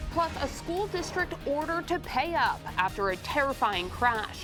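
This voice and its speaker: Over music in the background, a woman with an American accent speaks at a moderate pace with lively intonation. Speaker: television news anchor. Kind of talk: TV news anchor delivery. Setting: TV news studio. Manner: clear, serious, measured.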